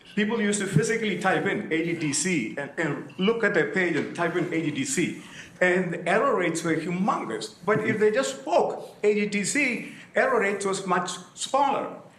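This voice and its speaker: With audible room echo and noticeable background noise, a man with a Keralan accent speaks at a high pitch with lively intonation. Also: moderate pace. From southern India. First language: Malayalam. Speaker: audience member asking a question. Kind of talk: audience question at a lecture. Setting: conference hall with audience.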